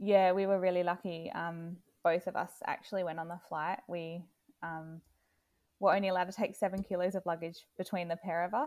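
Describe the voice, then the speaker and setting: A woman talks at a fairly quick pace with a fairly low pitch and fairly even intonation, in a plain, everyday voice. The recording is very clean with a silent background. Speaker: mother sharing her child's illness story. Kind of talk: personal testimony in interview.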